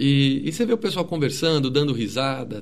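With a normal speaking voice, a man talks at a medium pitch and a moderate pace. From Greater São Paulo, Brazil (ABC region). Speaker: music researcher and musician. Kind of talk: interview conversation. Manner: casual, with many fillers and repetitions.

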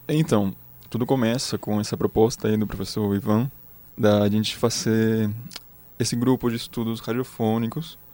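A man with a Spanish accent speaks at a moderate pace. His tone is dark and mellow, with medium pitch and fairly even intonation. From Chile, Magallanes. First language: Spanish (speaking Portuguese). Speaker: music researcher. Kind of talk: interview.

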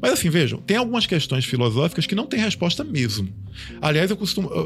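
A man talking at a fairly quick clip with lively intonation, music playing behind him. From Bahia, Brazil. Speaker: transhumanism commentator. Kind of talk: casual panel discussion.

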